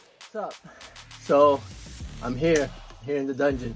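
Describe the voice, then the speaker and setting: Faint music plays behind a man talking at a fairly quick pace. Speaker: fitness coach. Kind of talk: casual workout tutorial. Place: gym.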